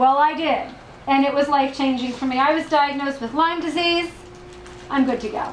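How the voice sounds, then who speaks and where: A woman speaks at a fairly quick pace in a high voice. Audible room echo and noticeable background noise surround her. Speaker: health practitioner and product distributor. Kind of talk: testimony and sales presentation. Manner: fast; enthusiastic.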